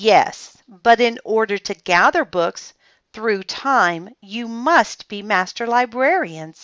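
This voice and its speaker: A female-sounding, put-on character voice speaks at a fairly high pitch and a very slow pace. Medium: read story. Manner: calm, gentle.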